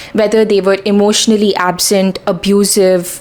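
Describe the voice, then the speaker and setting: A woman speaks at medium pitch with fairly even intonation. Noticeable background noise runs underneath. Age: 20s. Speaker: self-help vlogger. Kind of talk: talking-head advice video.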